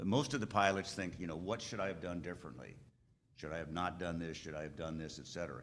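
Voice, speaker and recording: Very fast speech from a man with a very deep, low pitch and vocal fry, with audible room echo. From Alaska. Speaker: aviation lawyer. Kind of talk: conference talk. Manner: conversational, halting.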